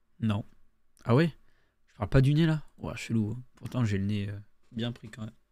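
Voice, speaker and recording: A man with a dark, mellow tone speaks at a medium pitch and moderate pace, with ordinary pitch variation. His delivery has big swings in loudness and long, frequent pauses. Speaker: gaming streamer. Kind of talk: gameplay commentary. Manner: casual, rambling.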